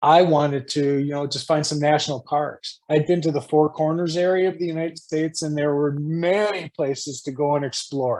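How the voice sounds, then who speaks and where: A man's fairly high voice, a plain, everyday voice, with fairly even intonation, a moderate pace and hardly any pauses. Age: 60s. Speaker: spiritual guest. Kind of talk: interview. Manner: casual.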